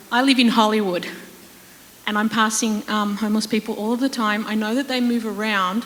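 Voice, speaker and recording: A woman with an Australian accent, fairly high pitch and a fairly quick pace, with noticeable background noise. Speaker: audience member. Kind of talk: audience question. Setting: stage with audience.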